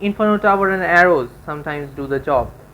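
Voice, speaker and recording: Ordinary pitch variation from a woman with a non-native accent. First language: not English. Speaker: gaming YouTuber. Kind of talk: gameplay commentary. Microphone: poor sound quality.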